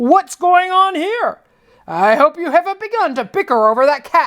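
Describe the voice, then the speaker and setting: A woman puts on a character voice at an extremely high pitch, with very wide pitch swings. Her tone is stern. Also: moderate pace. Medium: read story. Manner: grumbling, slightly stern.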